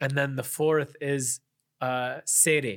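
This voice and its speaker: A man with an American accent, fairly high in pitch, fairly even in intonation, on a very clean recording with a silent background. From Chicago suburbs, US Midwest. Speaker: Islamic scholar. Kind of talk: casual interview. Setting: warehouse studio.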